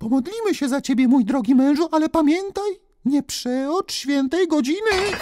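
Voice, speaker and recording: A man puts on a character voice at an extremely high pitch. His tone is gentle and his pace moderate. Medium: read story. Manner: worried, gentle.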